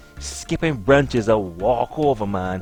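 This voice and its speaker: A man with a Barbadian accent, a playful tone and very wide pitch swings over music in the background. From Barbados. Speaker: comedic storyteller. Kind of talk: comedic monologue. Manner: playful, humorous.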